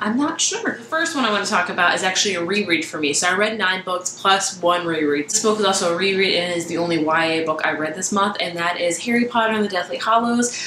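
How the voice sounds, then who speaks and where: Amid light background noise and audible room echo, a woman talks at a very fast pace with hardly any pauses and ordinary pitch variation. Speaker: book vlogger. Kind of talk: casual vlog chat. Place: home room.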